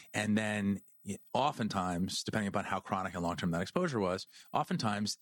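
This man's fairly low voice moves at a fairly quick pace with ordinary pitch variation, in a very clean recording with a silent background and a dry, close sound with no echo. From New Jersey, near Princeton. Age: 40s. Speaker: mold inspection company founder. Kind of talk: interview. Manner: halting, many restarts.

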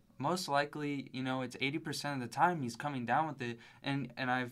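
An ordinary speaking voice from a man at medium pitch, with fairly even intonation and a fairly quick pace. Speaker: sports podcast co-host. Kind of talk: casual sports analysis chat.

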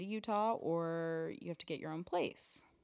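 A woman with a plain, everyday voice speaks at a fairly slow pace in a fairly low pitch and fairly even intonation, on a very clean recording with a silent background. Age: 20s. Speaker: model and actress. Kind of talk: casual chat. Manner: giggly, laughs often.

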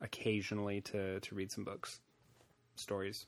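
A man at a fairly slow pace. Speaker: podcast host. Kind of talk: casual chat. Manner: relaxed, conversational.

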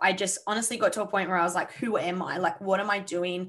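Her intonation is fairly even. The woman speaks in an Australian accent. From Sydney, Australia. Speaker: mindset coach. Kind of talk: casual interview chat.

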